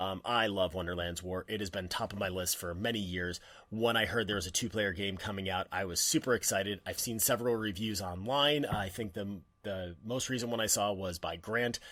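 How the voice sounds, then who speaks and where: Recorded very cleanly against a silent background, a man with a fairly low pitch speaks at a fairly quick pace. His tone is bright and sharp, with ordinary pitch variation. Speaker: board game youtuber. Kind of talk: casual preview monologue. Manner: animated; fast.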